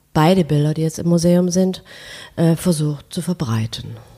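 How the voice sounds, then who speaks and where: A woman talks in a dark, mellow, somewhat breathy tone at a fairly low pitch, her intonation fairly even. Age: 60s. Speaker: painter and art professor. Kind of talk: interview. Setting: at home.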